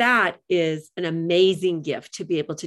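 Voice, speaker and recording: Over a quiet background, a woman speaks in an animated tone. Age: 60s. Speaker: radio host and life coach. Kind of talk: interview. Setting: studio.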